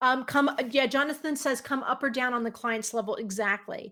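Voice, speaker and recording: A woman with a New Jersey accent talks at a moderate pace. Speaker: software company presenter. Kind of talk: webinar presentation.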